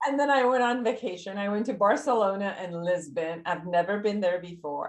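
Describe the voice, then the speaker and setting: An ordinary speaking voice, a woman's, medium in pitch, with lively intonation and a fairly quick pace. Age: 60s. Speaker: psychotherapist. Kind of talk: interview.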